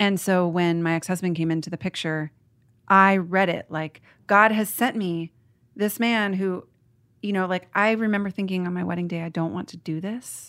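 In a very clean recording with a silent background, a woman with an American accent uses an unremarkable speaking voice at a medium pitch, a moderate pace and fairly even intonation. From Portland, Oregon, US. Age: 30s. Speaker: author. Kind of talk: casual chat.

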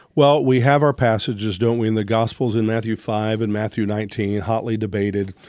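Here a man has an unremarkable speaking voice at medium pitch with fairly even intonation. He talks at a fairly quick pace with hardly any pauses. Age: 60s. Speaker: therapist. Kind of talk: casual chat. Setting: studio.

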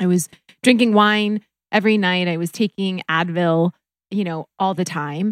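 A woman with an American accent and a plain, everyday voice, medium pitch, fairly even intonation and moderate pace, dry and close with no echo on a very clean recording with a silent background. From US Midwest (North Dakota). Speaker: reiki practitioner. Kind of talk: casual chat; guided meditation.

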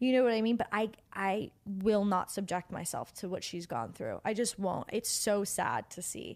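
A woman's medium-pitched, plain, everyday voice with an American accent at a moderate pace, on a very clean recording with a silent background. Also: fairly even intonation, hardly any pauses. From New Jersey, near New York City. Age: 20s. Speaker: actress and model scout. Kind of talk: casual chat.

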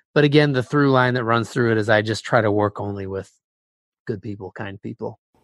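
A man with an ordinary speaking voice talks at a fairly quick pace with a medium pitch and ordinary pitch variation, against a quiet background with a dry, close sound and no echo. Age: 30s. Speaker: music producer. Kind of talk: casual chat.

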